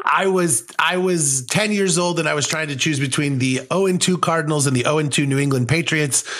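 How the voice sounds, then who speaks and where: A man talks at a fairly high pitch and a fairly quick pace, with hardly any pauses. His loudness is very even, pitch variation ordinary, and there is noticeable background noise. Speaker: podcaster. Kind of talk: casual chat.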